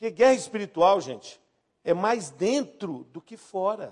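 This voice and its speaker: A high-pitched man at a moderate pace. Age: 50s. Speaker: pastor. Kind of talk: sermon.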